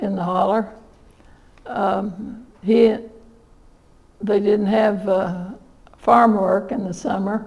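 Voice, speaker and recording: With a southern Indiana accent, a woman talks at a very slow pace in monotone, flat intonation. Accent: southern Indiana rural American. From southern Indiana, USA. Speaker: local historian and author; retired nurse. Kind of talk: storytelling talk to an audience.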